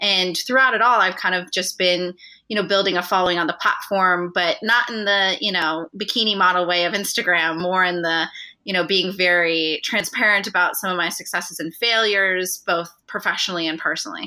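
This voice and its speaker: An unremarkable speaking voice from a woman, fairly quick, medium in pitch and fairly even in intonation. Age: 20s. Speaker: university student and content strategist. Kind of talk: interview.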